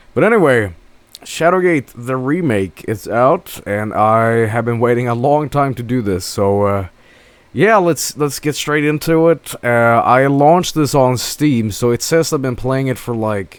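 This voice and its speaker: Speaking at a fairly slow pace, a man with a Swedish accent uses lively intonation at a medium pitch. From Sweden. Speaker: video game streamer. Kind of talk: gameplay live stream commentary. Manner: hesitant, many fillers and repetitions.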